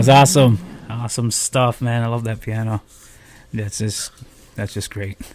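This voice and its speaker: A medium-pitched man speaks at a moderate pace with fairly even intonation. Long, frequent pauses break up his speech. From Akwesasne, Canadian border. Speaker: internet radio host and smoothie business owner. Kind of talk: casual interview chat. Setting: online video platform interview.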